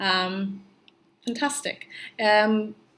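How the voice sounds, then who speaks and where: Speaking with a non-native accent, a woman shows ordinary pitch variation. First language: not English. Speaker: pregnancy vlogger. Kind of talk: casual vlog monologue. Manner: hesitant with many fillers.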